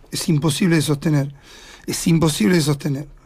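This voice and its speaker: In a normal speaking voice, a man talks at a moderate pace and fairly high pitch against a quiet background. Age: 60s. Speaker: local politician candidate; radio interview guest. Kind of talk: radio interview. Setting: studio. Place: studio. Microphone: studio mic.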